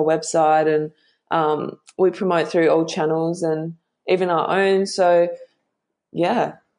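Speaking fairly slowly in an Australian accent, a woman keeps her intonation monotone and flat. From Western Australia (Bunbury). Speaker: model. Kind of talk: interview.

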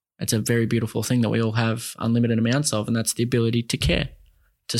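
In a very clean recording with a silent background, a man with an Australian accent talks at a very fast pace in a medium pitch. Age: 20s. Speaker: mental health advocate. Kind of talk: casual interview chat.

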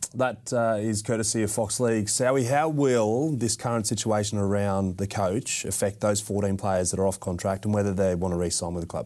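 A man with an Australian accent talks at a fairly quick pace, with ordinary pitch variation and hardly any pauses. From Western Sydney, Australia. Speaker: sports podcast host. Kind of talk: casual chat.

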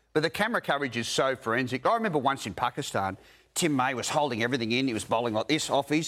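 A man with an Australian accent speaks at a very fast pace. His tone is animated, his pitch medium, and his intonation lively. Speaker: cricket journalist panellist. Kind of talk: sports panel discussion. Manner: animated, emphatic.

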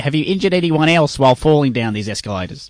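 A very fast voice with very wide pitch swings, recorded dry and close with no echo against a quiet background. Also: man. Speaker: comedic radio host. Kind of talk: comedy sketch radio show. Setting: studio.

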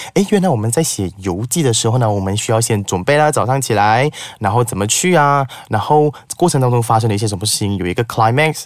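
A man's medium-pitched voice, very fast and lively in intonation. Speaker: public speaking teacher. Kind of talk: casual chat.

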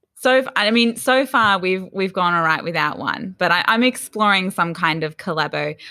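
With an Australian accent, a woman talks at a moderate pace and medium pitch, her intonation lively and hardly any pauses. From Australia, Sydney's Northern Beaches. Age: 20s. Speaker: entrepreneur, founder of a collaboration platform. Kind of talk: casual interview chat.

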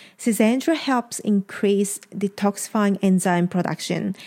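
A woman speaks at a medium pitch with a dark, mellow tone and ordinary pitch variation. The recording is very clean, with a silent background. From Japan. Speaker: podcast host and wellness shop owner. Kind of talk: solo podcast talk.

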